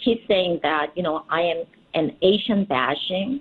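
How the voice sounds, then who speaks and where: A woman speaks with a Korean accent at a medium pitch. Her pace is fairly slow. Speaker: politician. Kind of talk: radio interview.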